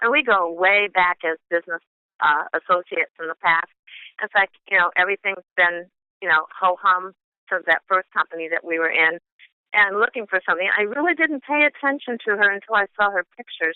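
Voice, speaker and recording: A woman with an American accent talks at a fairly quick pace in a normal speaking voice, her pitch medium for a woman. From Chicago, US Midwest. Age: 60s. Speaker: product user giving a testimony. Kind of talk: testimony.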